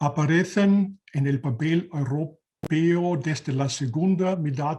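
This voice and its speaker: Very slowly, a man speaks in a somewhat breathy, dark, mellow voice with ordinary pitch variation. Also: hardly any pauses. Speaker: researcher and database specialist. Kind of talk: conference presentation. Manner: halting.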